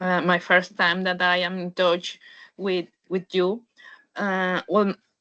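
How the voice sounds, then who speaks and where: A woman's medium-pitched voice with a bright, sharp tone at a very slow pace. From Mexico. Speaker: webinar attendee, biochemist job seeker. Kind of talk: audience question. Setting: online webinar. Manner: halting.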